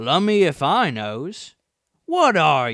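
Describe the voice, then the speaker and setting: This man uses a put-on character voice. It sounds gruff. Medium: read story. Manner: coarse, gruff.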